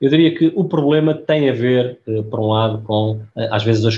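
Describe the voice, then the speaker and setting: A man speaks in a dark, mellow tone that is somewhat breathy. His pitch moves in an ordinary way. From Portugal, Aveiro. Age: 50s. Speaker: pharmaceutical executive. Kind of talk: interview.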